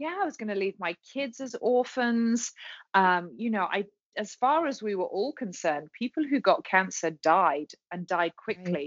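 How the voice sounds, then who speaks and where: Speaking at a moderate pace with a British accent, a woman swings her pitch very widely. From England. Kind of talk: interview, personal testimony.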